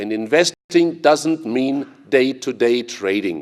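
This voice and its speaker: A man with a German accent at a fairly slow pace. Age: 60s. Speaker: investor and conference speaker. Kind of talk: conference speech.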